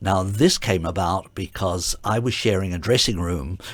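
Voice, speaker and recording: A man with an Australian accent speaks in a very deep, low pitch with ordinary pitch variation. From Adelaide, Australia. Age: 70s. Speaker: retired ballet dancer and artistic director. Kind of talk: interview. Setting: radio studio. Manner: halting, many fillers.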